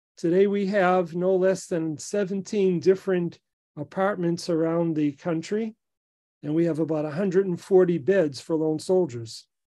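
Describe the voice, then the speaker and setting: A man speaks with an American accent at a moderate pace, his pitch high and ordinarily varied. His tone is dark and mellow. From Boston. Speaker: rabbi, president of a soldiers' support organization. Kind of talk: interview answer.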